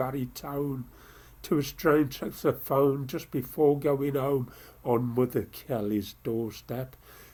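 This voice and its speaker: Speaking at a very slow pace, a man with a medium pitch has a dark, mellow tone that is somewhat breathy. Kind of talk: poetry reading.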